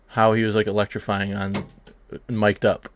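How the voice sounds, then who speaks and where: The man speaks at a fairly slow pace and a fairly low pitch. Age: 30s. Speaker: fantasy football podcast host. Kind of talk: casual chat.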